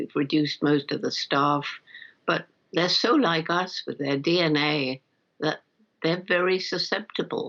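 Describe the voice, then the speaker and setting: Using a British accent, a woman talks fairly slowly in a fairly low pitch, with ordinary pitch variation and long, frequent pauses. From England. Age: 80s+. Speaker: primatologist. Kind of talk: interview answer.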